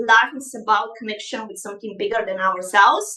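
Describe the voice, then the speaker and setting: Her tone bright and sharp, a woman speaks with a Bulgarian accent and ordinary pitch variation. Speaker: life coach. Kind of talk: live online masterclass. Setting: livestream. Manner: animated.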